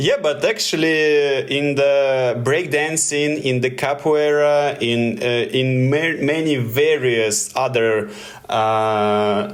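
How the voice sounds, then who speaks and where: At a very slow pace, a man with a fairly high pitch keeps a very even loudness while room echo is audible and background noise is noticeable. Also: ordinary pitch variation. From Russia. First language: Russian. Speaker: tricking athlete, podcast co-host. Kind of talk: casual chat. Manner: halting, many hesitations.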